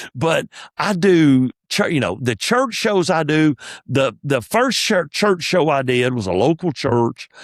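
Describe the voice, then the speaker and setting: An animated man with a Southern US accent talks at a moderate pace on a very clean recording with a silent background, the sound dry and close with no echo. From US South. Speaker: comedian. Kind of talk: podcast storytelling. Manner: preacher-like cadence.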